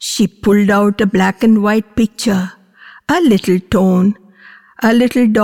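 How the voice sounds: Fairly even intonation in a natural reading voice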